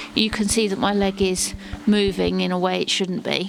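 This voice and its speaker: A woman with a medium-pitched voice talks over music playing in the background. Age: 40s. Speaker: Paralympic dressage rider. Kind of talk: casual talk to camera, Q&A.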